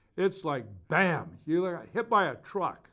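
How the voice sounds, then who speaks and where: Against a quiet background, a man with an American accent speaks in a high voice. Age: 70s. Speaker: Bible teacher. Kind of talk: Bible teaching. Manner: casual, halting with fillers.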